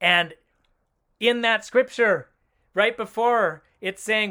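A man with an American accent projects a raised voice, high in pitch and bright and sharp in tone. He speaks at a very slow pace. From Oakland, California. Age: 40s. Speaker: ministry leader, guest. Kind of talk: casual interview chat.

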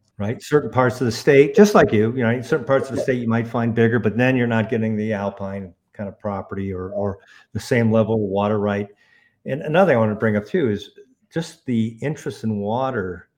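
A man's plain, everyday voice at medium pitch, with ordinary pitch variation and a fairly quick pace. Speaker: ranch brokerage founder. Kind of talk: casual interview conversation.

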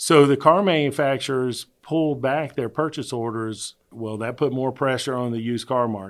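An ordinary speaking voice, a man with an American accent at a moderate pace and ordinary pitch variation, in a very clean recording with a silent background. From US South, Virginia. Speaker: county treasurer. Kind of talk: interview.

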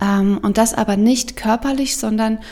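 Over noticeable background noise, a woman with a fairly high pitch speaks at a very slow pace. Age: 30s. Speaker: podcast host and coach. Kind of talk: personal testimony monologue. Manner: animated.

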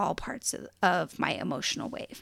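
Here a woman speaks at a fairly slow pace. Her tone is animated and enthusiastic. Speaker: podcast host. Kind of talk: solo podcast monologue, reflective. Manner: animated, enthusiastic.

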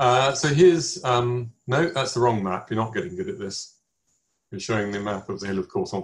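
A man of medium pitch, somewhat breathy, at a moderate pace, with very wide pitch swings.

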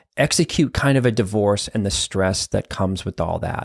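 A man with an American accent speaks at a moderate pace in an unremarkable speaking voice, fairly low in pitch with ordinary pitch variation. The recording is very clean and dry, close with no echo, over a silent background. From Boston area, Massachusetts. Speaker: therapist and podcast host. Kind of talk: solo podcast monologue.

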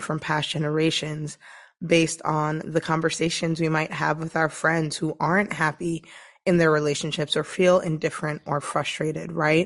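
A woman speaks at a moderate pace in a very deep, low voice. Her intonation is monotone and flat, against a quiet background. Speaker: leadership strategist and podcast host. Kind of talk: solo podcast monologue.

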